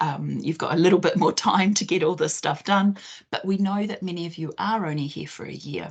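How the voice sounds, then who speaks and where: Speaking with a New Zealand accent at a fairly quick pace, the voice shows ordinary pitch variation and big swings in loudness. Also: woman, fairly low pitch for a woman. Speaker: careers consultant. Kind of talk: online presentation.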